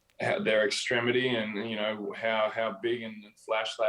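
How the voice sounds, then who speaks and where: With an Australian accent, a man speaks at a moderate pace and a fairly low pitch. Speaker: professional basketball player. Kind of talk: interview. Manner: hesitant, many fillers.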